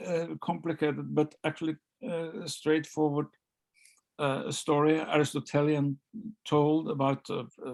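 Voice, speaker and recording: A man with a Norwegian accent, fairly high pitch and fairly even intonation, at a fairly slow pace with long, frequent pauses. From Norway, Oslo. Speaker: novelist. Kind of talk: author interview. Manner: halting, many repetitions.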